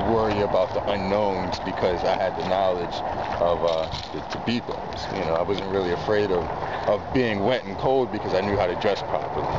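Over loud background noise, a man with an American accent speaks at a fairly quick pace. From Baltimore, Maryland. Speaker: park ranger. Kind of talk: outdoor tutorial. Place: open country.

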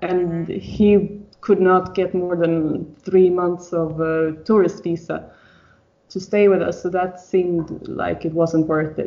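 A woman speaks with a Swedish accent at a fairly low pitch and a very slow pace. Her intonation stays monotone and flat. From Sweden. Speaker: mother sharing birth story. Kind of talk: interview testimony. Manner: halting.

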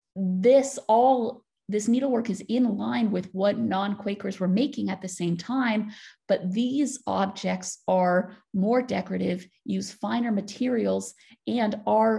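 In an American accent, a woman talks at a fairly slow pace with vocal fry and a dark, mellow tone against a quiet background. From United States. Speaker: PhD student researcher. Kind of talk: lecture.

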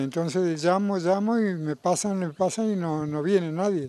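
A man speaks in a fairly high pitch with a dark, mellow tone. The sound is dry, with no echo. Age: 80s+. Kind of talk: interview answer. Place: garden. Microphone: handheld.

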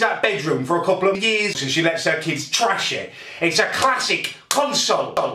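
Amid noticeable background noise, a man speaks in a raised, projected voice. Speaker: vlogger. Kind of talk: angry comedic rant to camera. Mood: angry, exasperated. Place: kitchen. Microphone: phone near.

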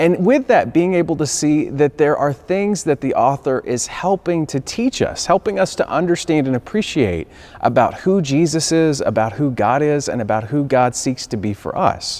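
A man talks at a moderate pace with hardly any pauses. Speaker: minister. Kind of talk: sermon. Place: church.

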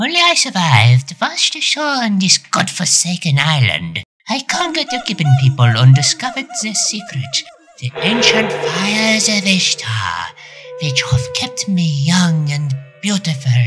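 In a cartoonish character voice at a middle pitch, the speaker moves at a moderate pace with very wide pitch swings. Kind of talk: comic overacting. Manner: haughty, scornful, commanding.

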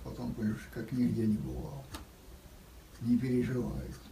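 At a moderate pace, the speech comes with light background noise and audible room echo. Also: man. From Russia. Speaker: World War II veteran. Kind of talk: interview answer. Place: home room. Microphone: camera far.

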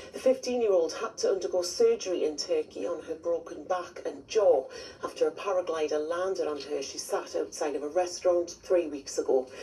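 With music in the background, a woman talks with hardly any pauses. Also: moderate pace. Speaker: regional TV newsreader. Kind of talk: regional TV news bulletin reading from autocue. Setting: TV news studio. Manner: crisp, measured and formal; warm, friendly sign-off.

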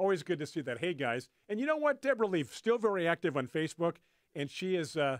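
Against a quiet background, a man with an American accent and an unremarkable speaking voice talks at a fairly quick pace with lively intonation, in dry sound with no echo. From California. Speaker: radio show host. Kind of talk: radio talk show. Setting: radio studio. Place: studio. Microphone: studio mic.

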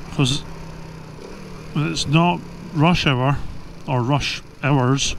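In a Scottish accent, a man with a fairly high pitch and ordinary pitch variation speaks at a very slow pace with long, frequent pauses, amid audible room echo and noticeable background noise. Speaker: motorcycle vlogger. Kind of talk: casual monologue. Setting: outdoors on a motorbike.

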